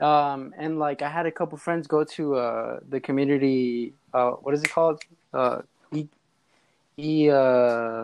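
This man has an unremarkable speaking voice, with an American accent and a fairly high pitch. He talks at a fairly slow pace with fairly even intonation over a quiet background. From Los Angeles, California. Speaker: rapper and music producer. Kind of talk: casual chat.

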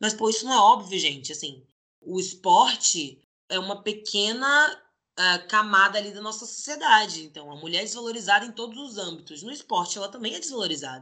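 In an ordinary speaking voice, a woman talks at a fairly quick pace with a fairly high pitch. Her intonation is lively, with big swings in loudness. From Brazil, Salvador (Bahia), then Rio de Janeiro from age 12. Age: 20s. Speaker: professional basketball player. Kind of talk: interview.

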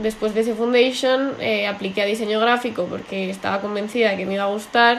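A woman's medium-pitched voice, with fairly even intonation, comes through noticeable background noise. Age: 20s. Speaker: artist. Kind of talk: interview.

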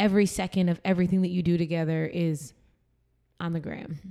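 A woman with an American accent and an ordinary speaking voice talks at a fairly quick pace and a fairly low pitch, on a very clean recording with a silent background. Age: 30s. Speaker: podcast host. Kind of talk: casual chat.

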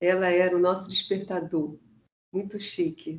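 A woman's fairly low, monotone, flat voice at a very slow pace. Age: 60s. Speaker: music educator. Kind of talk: online panel conversation; guided meditation.

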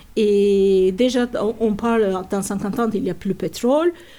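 The speaker talks at a very slow pace in a dark, mellow tone. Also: woman. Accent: Turkish. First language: Turkish (speaking French). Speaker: natural dyer and workshop teacher. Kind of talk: interview. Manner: halting.

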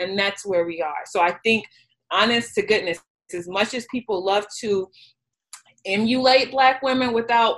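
A woman with an American accent has an unremarkable speaking voice at medium pitch. She keeps a moderate pace with ordinary pitch variation. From Chicago, South Side. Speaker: career coach. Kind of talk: group discussion.

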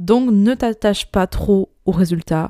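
Medium in pitch, a woman's voice has a dark, mellow tone and fairly even intonation. The sound is dry and close with no echo, in a very clean recording with a silent background. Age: 20s. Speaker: podcast host, digital communication entrepreneur. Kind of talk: solo podcast monologue.

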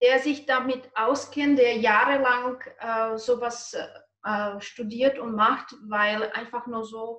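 In a Czech accent, a woman speaks very slowly at a high pitch, her intonation monotone and flat while her loudness swings widely. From Czech Republic. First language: Czech (speaking German). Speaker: nutrition coach. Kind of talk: interview.

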